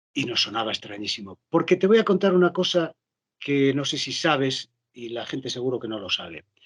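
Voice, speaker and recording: In a dry, close sound with no echo, a man with a slight Galician accent talks fairly quickly at a fairly high pitch, his voice swinging very widely. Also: big swings in loudness. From Galicia, rural interior. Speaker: actor and voice dubber. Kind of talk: interview conversation. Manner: animated.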